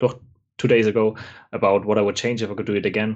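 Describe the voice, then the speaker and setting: A man's fairly low voice with a non-native accent and monotone, flat intonation. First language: not English. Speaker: language learner. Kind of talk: casual chat.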